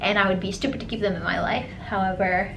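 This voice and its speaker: Audible room echo and noticeable background noise accompany a speaker with an American accent. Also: woman. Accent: sounds American. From grew up in a Middle Eastern country, then America. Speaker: lifestyle vlogger. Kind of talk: casual chat.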